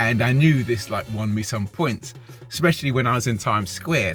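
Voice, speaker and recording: In a British accent, a man speaks at a moderate pace with lively intonation over music in the background. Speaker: dating advice vlogger. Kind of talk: casual monologue. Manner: halting, many repeats.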